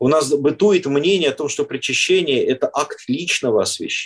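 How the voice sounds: A man with a slightly husky edge, lively intonation and a moderate pace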